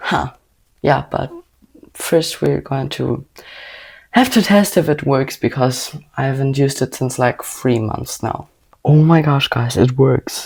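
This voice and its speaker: A woman with a German accent speaks at a fairly slow pace in a very deep, low voice with vocal fry. Her pitch variation is ordinary, and she takes long, frequent pauses. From Germany. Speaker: vlogger. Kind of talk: casual vlog talk.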